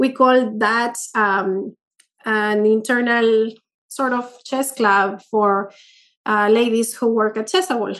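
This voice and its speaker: Against a quiet background, a woman with a Spanish accent talks at a very slow pace, fairly high in pitch, her intonation fairly even. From Peru. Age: 30s. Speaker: chess master. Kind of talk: interview. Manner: halting, with many fillers.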